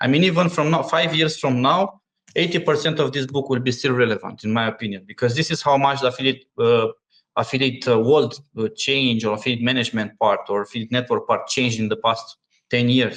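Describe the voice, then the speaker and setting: Talking at a fairly quick pace, a man with a non-native accent and medium pitch shows ordinary pitch variation. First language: not English. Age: 40s. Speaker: businessman. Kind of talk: interview. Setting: podcast. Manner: halting.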